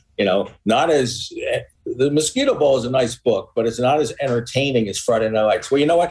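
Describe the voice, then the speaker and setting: A somewhat breathy man at a fairly high pitch, fairly quick pace and ordinary pitch variation. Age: 60s. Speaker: author and journalist. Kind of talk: interview. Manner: halting, repeats words.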